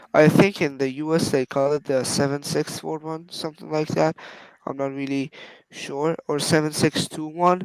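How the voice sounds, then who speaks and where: A man with a Persian accent and a fairly high pitch, monotone and flat, at a moderate pace, in a dry, close sound with no echo. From Iran. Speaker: phone collector YouTuber. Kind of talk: casual interview.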